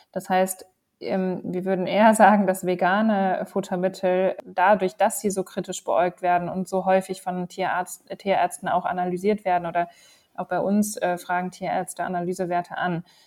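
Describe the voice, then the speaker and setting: A woman talks in a medium pitch. Her intonation is monotone and flat. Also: moderate pace. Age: 30s. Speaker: company co-founder. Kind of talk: interview.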